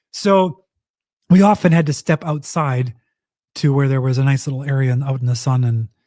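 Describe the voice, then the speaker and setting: Pausing long and often, a man speaks at a moderate pace in a dark, mellow, somewhat breathy tone, his pitch fairly high, with a dry, close sound and no echo. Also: ordinary pitch variation. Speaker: podcast co-host. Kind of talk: casual chat. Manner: quiet, hard to project.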